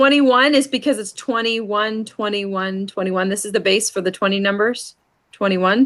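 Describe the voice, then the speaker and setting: A woman speaks at a moderate pace in a normal speaking voice. Her pitch sits in the medium range with ordinary variation. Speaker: sign language teacher. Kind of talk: lesson.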